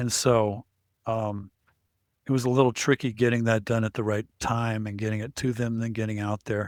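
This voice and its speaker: A man speaks at a moderate pace in a flat monotone. The recording is very clean and dry, close-miked with a silent background and no echo. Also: medium pitch for a man. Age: 60s. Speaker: surgery patient. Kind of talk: interview. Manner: halting.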